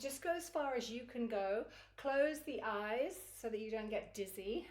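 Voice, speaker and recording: In a room with audible echo, a woman with a high voice speaks at a moderate pace in a calm, gentle tone with lively intonation. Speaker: kundalini yoga teacher. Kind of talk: guided yoga class instruction. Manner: calm, gentle guiding pace.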